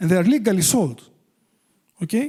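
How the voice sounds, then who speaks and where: Speaking at a moderate pace in a strong Greek accent, a man with a high pitch and a dark, mellow tone makes very wide pitch swings. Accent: thick Greek. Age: 60s. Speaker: addiction treatment expert. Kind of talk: public talk. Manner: halting.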